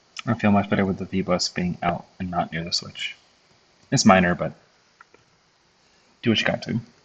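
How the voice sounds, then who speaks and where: The man's fairly low voice moves at a moderate pace with fairly even intonation. Long pauses break up his speech often. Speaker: electronics design tutorial creator. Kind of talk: tutorial. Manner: hesitant, many fillers.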